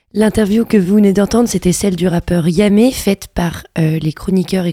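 Dark and mellow in tone, this voice moves at a moderate pace with ordinary pitch variation and a dry, close sound with no echo. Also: woman. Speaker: radio host. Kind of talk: radio show presenting. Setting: studio.

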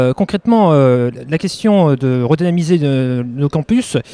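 A man with a fairly high pitch and a dark, mellow tone speaks with ordinary pitch variation, in a very clean, dry, close recording with no echo and a silent background. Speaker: student vice-president. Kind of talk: interview. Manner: halting.

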